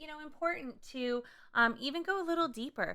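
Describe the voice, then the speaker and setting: A woman with an American accent speaks in a bright, sharp tone, her intonation lively and bouncing. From Southern California. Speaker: podcast co-host, ministry wife. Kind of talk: casual chat.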